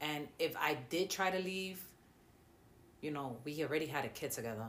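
There is audible room echo in the clip. The woman's words come at a moderate pace. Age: 30s. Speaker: domestic violence survivor. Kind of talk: testimony.

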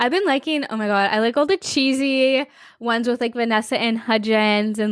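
Speaking fairly slowly in a normal speaking voice, a woman with a fairly high pitch and ordinary pitch variation sounds dry and close with no echo, on a very clean recording with a silent background. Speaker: podcast co-host. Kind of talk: casual chat.

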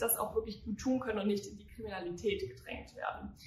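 A woman is speaking with audible room echo. Noticeable background noise can be heard as well. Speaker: podcast host, youth political activist. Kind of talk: casual political discussion.

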